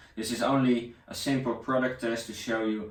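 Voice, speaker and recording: With audible room echo, a man with a Dutch accent talks at a moderate pace. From Netherlands. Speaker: tech reviewer. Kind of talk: product review. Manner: halting.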